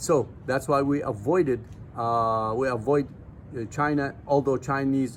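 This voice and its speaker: This man has a non-native accent, a medium pitch and fairly even intonation. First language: not English. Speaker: nutrition supplement seller and vlogger. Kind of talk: casual vlog talk to camera. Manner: halting with fillers.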